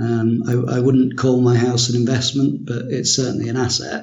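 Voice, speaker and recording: In a room with audible echo, a man speaks at a fairly slow pace, his voice somewhat breathy. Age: 30s. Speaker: finance worker and blog commenter. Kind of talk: casual interview. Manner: halting.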